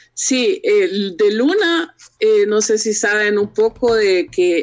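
Her pitch is fairly high with very wide swings as a woman talks at a very slow pace. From Honduras. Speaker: architect and blogger. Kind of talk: interview. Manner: halting.

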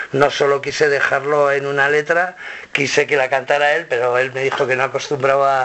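A man talks at a fairly quick pace in a fairly high pitch. Noticeable background noise runs behind him. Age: 50s. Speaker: rock musician. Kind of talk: interview. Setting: record label office. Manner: halting, many repetitions.

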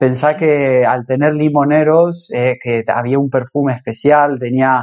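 The man's pitch is fairly high. He talks at a fairly slow pace with fairly even intonation. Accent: Rioplatense. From Argentina, Rosario. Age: 30s. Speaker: cook. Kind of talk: casual interview.

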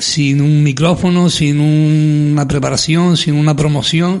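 Against noticeable background noise, a man with a fairly high pitch speaks with fairly even intonation. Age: 60s. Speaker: carnival group president. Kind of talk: interview.

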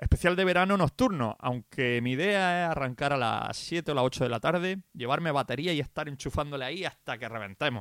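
A man with a fairly high pitch speaks at a moderate pace in an animated tone with lively intonation, on a very clean recording with a silent background and a dry, close sound with no echo. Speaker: radio DJ. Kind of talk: radio show presenting.

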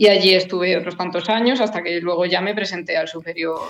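With a normal speaking voice, a woman talks at a moderate pace and keeps her intonation fairly even. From Spain, Madrid area (Rivas). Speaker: classical guitarist. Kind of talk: casual interview.

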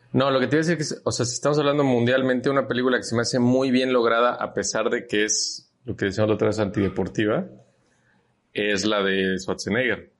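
Speaking very fast in a Mexican accent, a man with a medium pitch and ordinary pitch variation talks over a quiet background. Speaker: podcast co-host. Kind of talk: casual chat.

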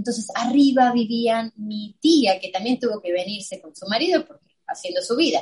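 This woman speaks in a Rioplatense accent with hardly any pauses. Her voice is somewhat breathy. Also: fairly high pitch for a woman, lively intonation, moderate pace. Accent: Argentine Spanish (rioplatense). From Argentina. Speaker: illustrator and designer. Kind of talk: interview. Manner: animated.

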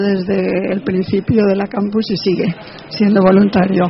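Noticeable background noise surrounds a woman's voice. She speaks at a medium pitch and a fairly slow pace. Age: 70s. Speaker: elderly blogger attendee. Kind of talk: casual interview.

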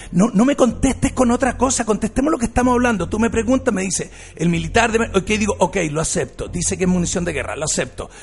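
Speaking at a very fast pace with hardly any pauses, this animated voice carries a Chilean accent and ordinary pitch variation. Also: man, high pitch for a man. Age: 50s. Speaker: radio host. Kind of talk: talk radio debate.

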